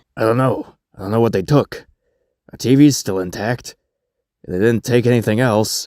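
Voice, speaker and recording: A man's raspy, put-on character voice at medium pitch, moderate pace and fairly even intonation, with long, frequent pauses and a dry, close sound with no echo. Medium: cartoon. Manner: gruff, sarcastic, exasperated.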